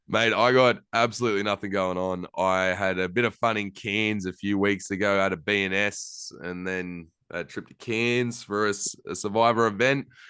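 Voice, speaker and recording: Against a quiet background, a voice with an Australian accent and a bright, sharp tone moves at a moderate pace with fairly even intonation and hardly any pauses. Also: man, fairly low pitch for a man. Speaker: podcast host. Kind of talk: casual chat.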